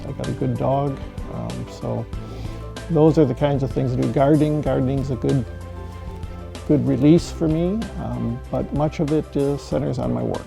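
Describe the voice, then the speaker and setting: Over background music, a man with a very deep, low pitch talks at a moderate pace with very wide pitch swings. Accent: American. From US Midwest, Michigan. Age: 60s. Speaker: patient. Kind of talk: testimony. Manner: hesitant, many fillers.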